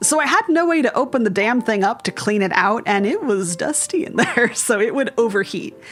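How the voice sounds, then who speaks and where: A woman's fairly high voice with very wide pitch swings, an animated tone, a fairly quick pace and hardly any pauses, over noticeable background noise. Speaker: gaming youtuber. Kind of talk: casual gameplay commentary.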